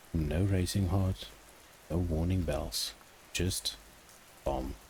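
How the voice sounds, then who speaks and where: Vocal fry marks this man's very deep, low voice. He talks at a very slow pace. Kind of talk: ASMR bedtime story narration. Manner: soft-spoken, calm, soothing.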